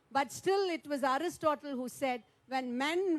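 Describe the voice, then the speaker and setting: A woman with a Tamil accent speaks at a fairly slow pace. Her high-pitched voice carries lively intonation. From Tamil Nadu, India. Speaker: member of parliament and poet. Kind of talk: panel speech. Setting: round table conference.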